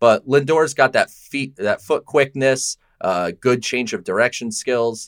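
On a very clean recording with a silent background, a man talks in a normal speaking voice at a fairly slow pace with fairly even intonation. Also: dry, close sound with no echo. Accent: American. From Connecticut. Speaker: sports podcast co-host. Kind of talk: casual chat.

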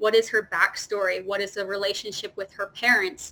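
A woman speaks in a bubbly, animated tone at a moderate pace. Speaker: theater performer. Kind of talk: casual interview. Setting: video call.

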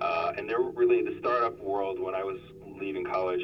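With an American accent, a man talks in a room with audible echo and noticeable background noise. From US South, South Florida. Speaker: company executive. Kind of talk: interview. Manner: halting, many fillers and repetitions.

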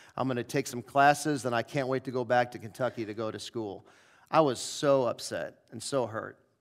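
With an American accent and a plain, everyday voice, a man of medium pitch talks at a fairly quick pace with fairly even intonation and big swings in loudness, on a very clean recording with a silent background. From US Midwest, St. Louis. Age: 40s. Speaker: pastor. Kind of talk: sermon. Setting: church.

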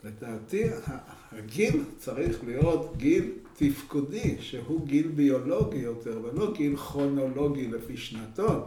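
Over noticeable background noise and audible room echo, a man speaks at a very slow pace with lively intonation. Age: 70s. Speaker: geriatrician and professor. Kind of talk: interview. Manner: halting.

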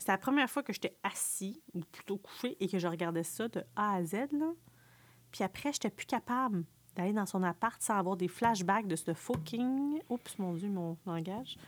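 A woman at a moderate pace, in a dry, close sound with no echo. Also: medium pitch for a woman, lively intonation. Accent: Quebec. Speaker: podcast co-host. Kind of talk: casual chat.

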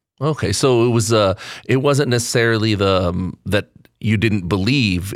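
A man has a plain, everyday voice, fairly low in pitch, with ordinary pitch variation at a moderate pace. The recording is very clean, with a silent background. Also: very even loudness. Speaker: podcast interviewer. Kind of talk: interview. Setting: church parish.

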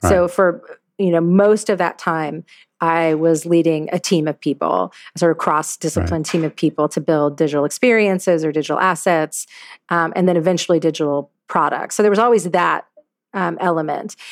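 A woman with a slight Southern US accent, fairly low pitch, moderate pace and ordinary pitch variation. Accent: little Southern. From US South, Louisiana. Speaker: CEO. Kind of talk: interview. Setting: remote call.

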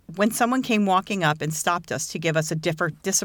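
Text read aloud in a plain manner

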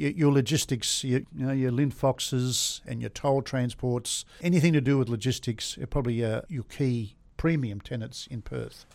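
On a very clean recording with a silent background, a man speaks at a medium pitch and moderate pace with ordinary pitch variation. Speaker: industrial property agent. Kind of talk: interview. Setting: studio. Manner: animated.

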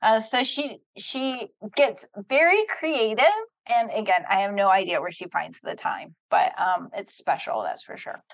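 A high-pitched woman with a Midwestern American accent speaks at a fairly slow pace, with very wide pitch swings and big swings in loudness. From US Midwest, Ohio (Centerville area). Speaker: church elder. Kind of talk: casual chat.

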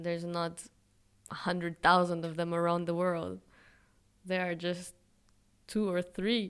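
A woman's fairly low, monotone voice with flat intonation, fairly slow with long, frequent pauses, in a very clean recording with a silent background. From Israel. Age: 20s. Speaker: fashion brand founder and psychology student. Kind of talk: interview.

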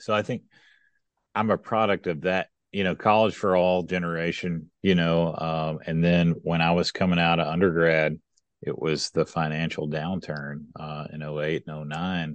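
In a Kentucky accent, a man speaks with a very deep, low pitch. He keeps a moderate pace and fairly even intonation. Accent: Southern US (Kentucky). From West Kentucky. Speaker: economic development executive. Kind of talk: interview conversation. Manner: frequent fillers and repetitions.

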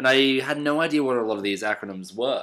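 A man's medium-pitched speech is captured in a very clean recording against a silent background. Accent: Australian. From Australia. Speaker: comedy podcast co-host. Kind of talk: casual chat.

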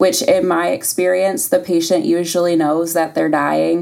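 Fairly low in pitch, a woman with an American accent has a dark, mellow tone and very wide pitch swings. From US Midwest, Toledo, Ohio. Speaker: hospice nurse. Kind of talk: podcast interview. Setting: studio. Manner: hesitant, many ums.

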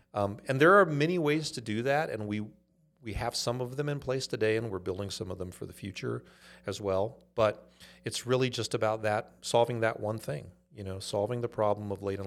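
A man with a Californian accent, fairly low-pitched, at a fairly quick pace with ordinary pitch variation. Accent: Californian American. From US West Coast, Los Angeles (Inglewood). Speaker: startup CEO. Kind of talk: interview.

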